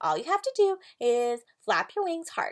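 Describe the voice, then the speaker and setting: Putting on a character voice at an extremely high pitch, a woman talks at a moderate pace with very wide pitch swings. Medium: read story.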